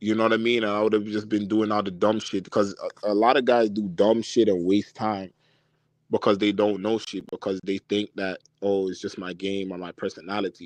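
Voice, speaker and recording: A man with a Toronto accent talks at a fairly quick pace in a fairly low pitch, the sound dry and close with no echo over a quiet background. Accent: Toronto accent, sounds Jamaican to outsiders. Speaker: dating advice streamer. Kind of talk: live stream Q&A. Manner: casual, animated.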